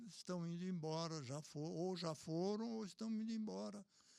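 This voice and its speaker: At a fairly slow pace with hardly any pauses, a man speaks with a high pitch, a dark, mellow tone and ordinary pitch variation. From Brazil, Sorocaba (São Paulo state). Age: 80s+. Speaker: elderly local businessman recalling memories. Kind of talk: casual interview conversation.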